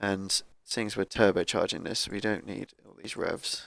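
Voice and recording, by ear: The man's low-pitched voice carries vocal fry, moving at a moderate pace with little pitch movement.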